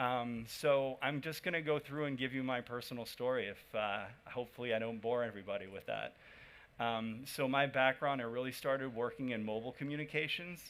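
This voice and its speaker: The speaker moves at a fairly quick pace with an American accent and ordinary pitch variation. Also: man, medium pitch for a man. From United States. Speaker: startup founder. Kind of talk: conference talk.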